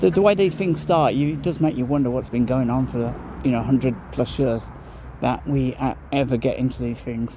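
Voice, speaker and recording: A man speaks at a moderate pace with a medium pitch and lively intonation over noticeable background noise. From Birmingham, England. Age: 50s. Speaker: passer-by on a walk. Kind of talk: casual chat.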